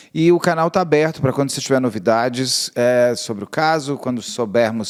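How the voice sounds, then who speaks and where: His pitch shifts in an ordinary way. The man keeps to a moderate pace. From São Paulo, Brazil. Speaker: true crime interviewer, channel host. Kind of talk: interview. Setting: video call.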